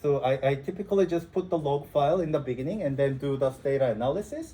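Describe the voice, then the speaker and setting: With a non-native accent, a man talks at a very fast pace in a somewhat breathy, dark, mellow tone with ordinary pitch variation. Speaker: instructor. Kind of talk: lecture. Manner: halting, many fillers.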